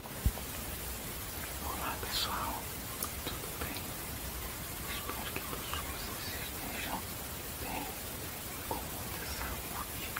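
Very slowly and with long, frequent pauses, a man speaks. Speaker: ASMR creator. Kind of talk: casual talk to camera. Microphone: phone near.

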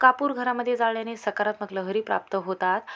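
A woman's fast, bright, sharp voice at a fairly high pitch. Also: ordinary pitch variation.

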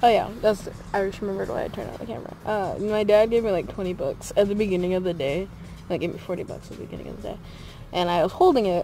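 Talking at a very fast pace with ordinary pitch variation, a woman is heard in a dry sound with no echo, with faint music in the background. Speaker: vlogger. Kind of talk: casual vlog chat. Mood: amused, laughing. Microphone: phone near.

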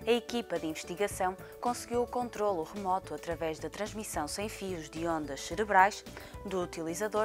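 A woman talks at a moderate speed while music plays behind her. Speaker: news narrator. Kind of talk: news report voiceover. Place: studio. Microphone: lapel.

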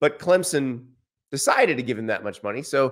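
The background stays quiet. A man is the one talking. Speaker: sports commentator. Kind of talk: commentary. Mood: critical, measured. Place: studio.

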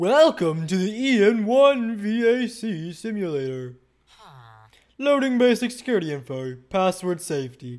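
A man does a put-on, robotic character voice in a high pitch. He speaks at a fairly slow pace. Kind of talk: gameplay commentary. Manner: deliberately silly.

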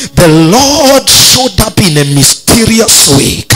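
With clear music in the background, a man is talking. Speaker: pastor. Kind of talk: sermon. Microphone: handheld.

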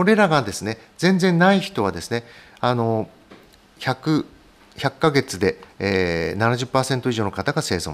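A man speaks at a very slow pace with very wide swings in pitch, leaving long, frequent pauses. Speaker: hematologist; physician lecturer. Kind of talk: medical lecture. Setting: online webinar. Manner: frequent fillers and hedges.

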